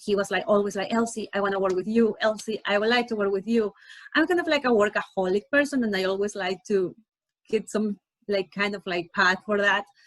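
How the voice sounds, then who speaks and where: Pitch moves in an ordinary way. The speech runs at a fairly quick pace. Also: woman. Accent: non-native. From Ecuador. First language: Spanish. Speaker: nonprofit founder. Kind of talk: interview. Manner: halting, with fillers and repetitions.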